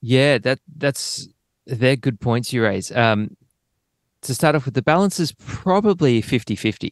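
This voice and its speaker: An Australian-accented man speaks at a medium pitch with lively intonation, the sound dry and close with no echo against a quiet background. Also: fairly slow pace. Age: 30s. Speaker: drummer. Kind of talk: casual chat.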